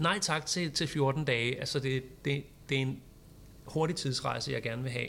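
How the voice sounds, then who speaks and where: A man speaks at a fairly slow pace with vocal fry. His pitch is medium, with ordinary variation. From Copenhagen, Denmark. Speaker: social media teacher. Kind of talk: casual chat. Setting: studio.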